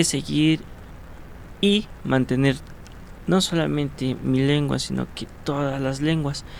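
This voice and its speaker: Someone speaks with a Mexican accent at a very slow pace. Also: man. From Mexico, Cuentepec, Morelos. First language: Nahuatl (speaking Spanish). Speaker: ethnohistory student and Nahuatl teacher. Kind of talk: interview. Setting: radio studio. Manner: hesitant, many fillers.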